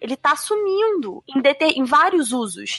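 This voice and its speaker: A woman's voice with very wide pitch swings, dry and close with no echo, over noticeable background noise. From Brazil. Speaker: English teacher. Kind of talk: casual panel discussion.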